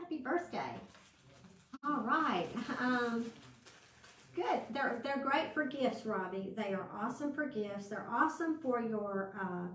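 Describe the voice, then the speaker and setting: With a Southern US accent, a woman speaks at a fairly slow pace with lively intonation and long, frequent pauses. Noticeable background noise and audible room echo fill the recording. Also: fairly high pitch for a woman. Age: 60s. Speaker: crafting channel host. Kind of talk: live craft tutorial. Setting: livestream with viewer chat. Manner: casual, chatty with fillers.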